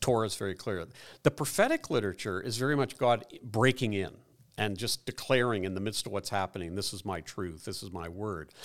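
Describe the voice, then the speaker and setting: In a very clean recording with a silent background, a man with an unremarkable speaking voice talks at a fairly quick pace, his fairly low pitch showing ordinary variation. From Ireland (Dublin), raised in Canada. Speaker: psychologist and former pastor, author. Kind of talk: interview conversation.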